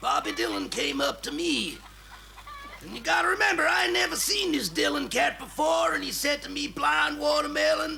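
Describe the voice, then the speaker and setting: A man puts on a drawling character voice at a moderate pace. Clear background noise runs under the recording. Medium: comedy sketch. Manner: drawling, casual, says "man".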